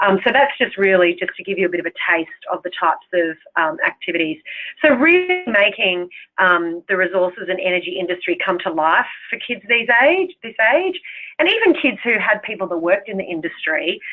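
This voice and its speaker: A woman speaks at a fairly quick pace with a medium pitch and lively intonation. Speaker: program presenter. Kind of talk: webinar presentation. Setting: online webinar. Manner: fast.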